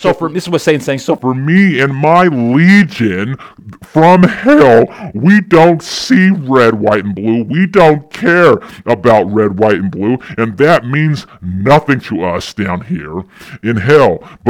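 A man puts on a character voice and delivers it at a very slow pace. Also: medium pitch for a man. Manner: menacing, defiant.

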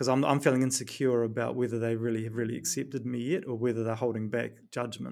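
A man talks in a flat monotone, recorded very cleanly against a silent background. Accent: New Zealand. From New Zealand. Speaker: performance coach and author. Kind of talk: podcast interview.

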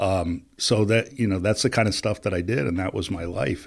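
Recorded very cleanly against a silent background, a man with an American accent speaks in a very deep, low pitch at a fairly quick pace. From US Northeast, upstate New York (Plattsburgh). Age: 50s. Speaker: business executive and recovery advocate. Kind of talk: casual interview.

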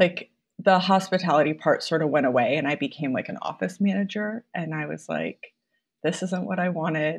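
Against a quiet background, a woman speaks in a Midwestern American accent at a moderate pace. Her voice is fairly low, with ordinary pitch variation. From Iowa, Mason City. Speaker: balloon decor business owner. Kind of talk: interview.

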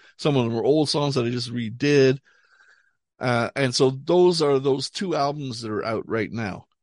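A man talks at a moderate pace and medium pitch with ordinary pitch variation, an ordinary speaking voice. The background is quiet. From Montreal, Canada. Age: 60s. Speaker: rock musician. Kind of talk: casual chat.

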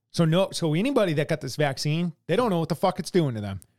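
A plain, everyday voice from a man with a fairly high pitch and lively intonation, in an American accent, on a very clean recording with a silent background. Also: dry, close sound with no echo. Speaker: podcast co-host. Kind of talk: casual profane political chat. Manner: blunt, heavily profane, teasing.

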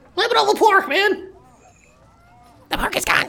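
A put-on character voice, squeaky and extremely high, at a moderate pace.

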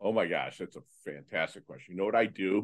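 A man speaks against a quiet background. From Michigan. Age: 50s. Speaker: motivational speaker. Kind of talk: interview. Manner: halting.

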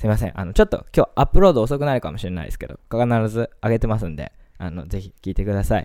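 Talking at a very fast pace, a man with a fairly low pitch and a dark, mellow tone uses vocal fry, lively intonation and big swings in loudness, recorded with a dry, close sound and no echo. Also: very clean recording, silent background. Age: 20s. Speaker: radio host. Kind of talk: casual monologue.

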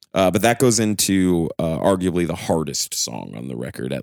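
This voice has very wide pitch swings and vocal fry, moving at a moderate pace in a dry, close sound with no echo. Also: man. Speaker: podcast host. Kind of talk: casual chat. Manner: casual, profane.

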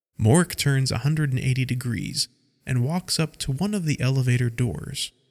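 The clip is plain reading aloud, its pitch varying in an ordinary way.

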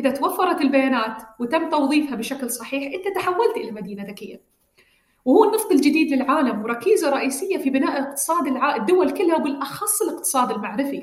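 A woman with an Emirati accent speaks at a moderate pace in a high voice, her pitch swinging very widely. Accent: Emirati Gulf Arabic. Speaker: government digital agency director. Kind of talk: interview.

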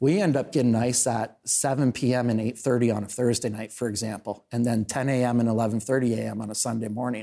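At a very fast pace with hardly any pauses, a man speaks in a dark, mellow tone, with a medium pitch and fairly even intonation. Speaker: town councillor and local show host. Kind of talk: casual interview chat. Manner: loud, opinionated.

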